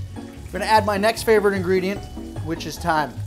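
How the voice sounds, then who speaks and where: Clear music runs underneath. The man talks at a fairly quick pace. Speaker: home cooking show host. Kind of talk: tutorial. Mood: playful, joking. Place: kitchen.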